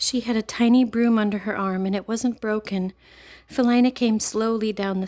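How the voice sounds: The clip carries a natural reading voice.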